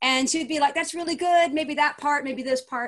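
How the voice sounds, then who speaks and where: A woman's voice with a slight Southern US accent. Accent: American with slight Southern. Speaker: poet and small publisher. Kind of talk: casual interview chat. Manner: animated.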